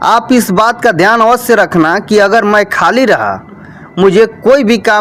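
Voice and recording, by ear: In a natural voice, a speaker reads a passage aloud.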